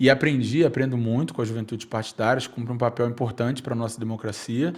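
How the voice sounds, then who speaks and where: A man with a Rio de Janeiro accent talks at a very fast pace. His medium pitch stays fairly even in intonation. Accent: carioca (Rio de Janeiro). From Brazil, Rio de Janeiro (Nova Iguaçu, Baixada Fluminense). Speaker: youth policy leader. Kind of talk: podcast interview. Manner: hesitant fillers.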